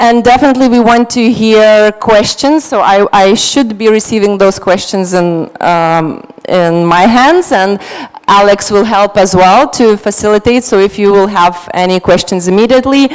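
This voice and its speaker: Noticeable background noise sits behind a woman speaking at a medium pitch and a moderate pace, with hardly any pauses. Her loudness stays very even and her pitch varies in an ordinary way. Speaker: panel moderator. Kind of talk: panel moderation.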